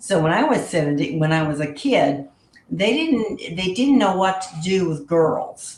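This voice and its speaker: Speaking at a fairly slow pace with very wide pitch swings, a woman with a Texan accent is heard over noticeable background noise. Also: medium pitch for a woman. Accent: Texan Southern US. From South Texas, US. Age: 70s. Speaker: guest sharing paranormal experiences. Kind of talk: casual interview chat.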